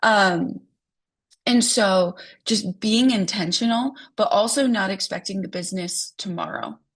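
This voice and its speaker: A somewhat breathy voice with ordinary pitch variation is heard over a quiet background. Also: woman. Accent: American. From US Midwest, South Dakota. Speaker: real estate agent. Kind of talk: online training talk. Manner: casual with many fillers.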